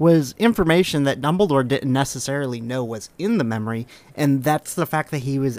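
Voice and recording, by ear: The speaker is reading aloud. The delivery is in a natural voice.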